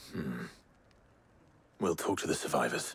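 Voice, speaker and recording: Using a put-on character voice, a man speaks at a moderate pace in a very deep, low pitch that sounds raspy. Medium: video game. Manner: low-key, terse.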